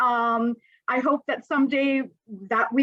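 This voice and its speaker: With a Canadian accent, a woman speaks at a moderate pace in a high pitch, recorded with a dry, close sound and no echo. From Canada. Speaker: librarian and health equity instructor. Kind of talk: webinar presentation. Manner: hesitant, many fillers.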